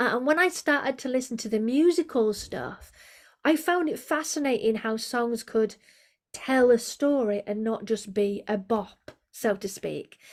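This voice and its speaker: On a very clean recording with a silent background, a woman speaks with an English accent. Her pitch is high, her intonation lively and her pace fairly slow. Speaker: vocal coach. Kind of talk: interview conversation.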